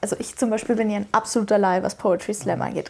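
This woman's voice sits at a fairly high pitch with fairly even intonation. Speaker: radio interviewer. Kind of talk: interview questions. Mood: friendly, curious. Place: studio. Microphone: lapel.

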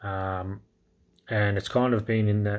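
A man in an Australian accent, fairly low in pitch, fairly slow and monotone with flat intonation, against a quiet background. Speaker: crypto YouTuber. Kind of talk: casual market update vlog. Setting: indoors at night, kids asleep. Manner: quiet, talking low; hesitant, many fillers. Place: home room. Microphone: phone near.

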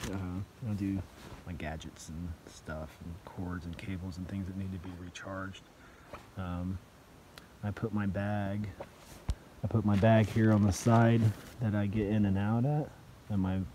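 With long, frequent pauses, a man speaks at a fairly slow pace and fairly low pitch, his intonation fairly even, in a dry sound with no echo over light background noise. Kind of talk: casual vlog chat. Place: tent. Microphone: phone near.

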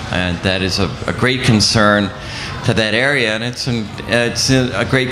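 Someone talks at a moderate pace with ordinary pitch variation amid noticeable background noise. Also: man. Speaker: city councilor. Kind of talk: panel discussion. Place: tent.

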